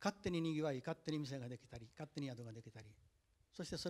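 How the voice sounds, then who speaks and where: This man talks at a very fast pace. His voice is somewhat breathy and fairly high-pitched. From Japan, Tokushima (rural); Japan. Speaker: botanical garden operator; panelist. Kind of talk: panel discussion. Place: hall. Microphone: handheld.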